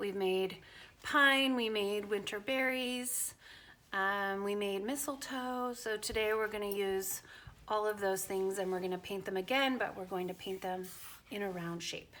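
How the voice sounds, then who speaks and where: With a bright, sharp tone, a woman talks at a fairly slow pace and ordinary pitch variation. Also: medium pitch for a woman. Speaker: art teacher. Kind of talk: tutorial. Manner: casual with many fillers.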